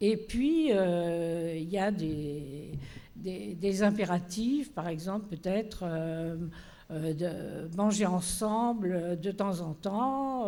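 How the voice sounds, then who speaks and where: At a very slow pace, a woman talks in a medium pitch with ordinary pitch variation and audible room echo. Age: 80s+. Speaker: panelist, organizer of cohousing seminars. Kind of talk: panel discussion. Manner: hesitant, many fillers.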